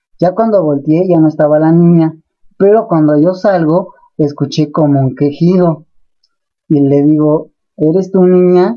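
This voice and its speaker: A man with a Mexican accent speaks in a fairly high voice. His pace is fairly slow and his loudness very even. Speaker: paranormal investigator and storyteller. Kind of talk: ghost story telling, first-person spooky personal account.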